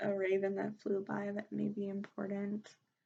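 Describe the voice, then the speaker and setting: Dark and mellow in tone, the woman's voice sits at a medium pitch. She talks at a very slow pace. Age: 30s. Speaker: tarot and divination reader. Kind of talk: spiritual reading talk to camera.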